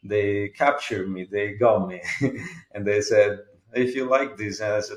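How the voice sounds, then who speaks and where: In an Italian accent, the words arrive at a moderate pace. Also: man. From Italy. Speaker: jazz guitarist. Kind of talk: interview. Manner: halting.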